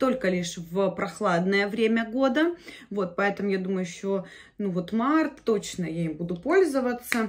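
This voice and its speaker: Lively intonation at a fairly slow pace. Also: woman. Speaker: beauty vlogger. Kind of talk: casual vlog chat. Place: home room. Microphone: phone near.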